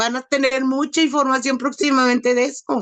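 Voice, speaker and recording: A woman with a high pitch speaks at a fairly slow pace. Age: 50s. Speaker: abuse survivor. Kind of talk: testimony. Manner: emotional; halting.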